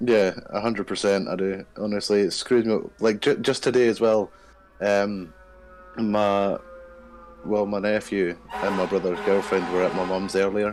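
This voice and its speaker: Music plays in the background as someone speaks in a Scottish accent. The delivery is monotone and flat, at a moderate pace. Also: man, fairly low pitch for a man. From Scotland. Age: 20s. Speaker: dating show guest. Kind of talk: casual chat.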